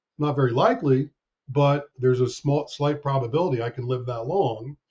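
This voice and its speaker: A man speaks in an American accent at a fairly high pitch. His voice is somewhat breathy, with ordinary pitch variation. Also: fairly quick pace. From US Northeast, near Hartford, Connecticut. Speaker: actuary. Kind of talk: podcast interview.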